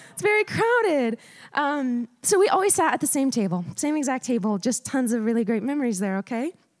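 Loud and fairly quick, a woman with an American accent speaks with very wide pitch swings in a dry, close sound with no echo. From Montana. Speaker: preacher. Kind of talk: sermon. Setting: church.

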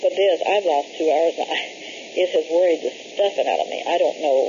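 The speech shows ordinary pitch variation, with noticeable background noise. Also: woman. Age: 60s. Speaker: caller reporting a UFO sighting. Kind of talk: phone call report. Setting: phone call.

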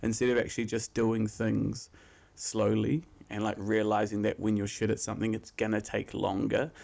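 With vocal fry and fairly low pitch, a man speaks in a very clean recording with a silent background. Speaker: podcast co-host. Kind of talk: casual chat.

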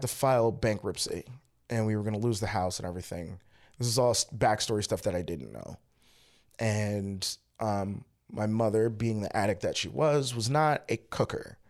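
A man with an American accent speaks in an ordinary speaking voice at a moderate pace. The recording is very clean, with a silent background. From Baltimore, Maryland, US. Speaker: comedian. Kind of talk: casual interview chat.

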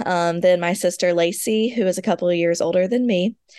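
Here is a woman with an ordinary speaking voice at a medium pitch. She keeps a moderate pace and fairly even intonation. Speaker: author, speaker and foster parent. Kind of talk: interview about personal loss.

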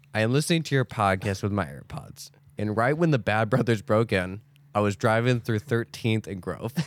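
A man's plain, everyday voice at medium pitch and moderate pace, with ordinary pitch variation, in a very clean recording over a silent background. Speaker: podcast co-host. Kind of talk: casual chat.

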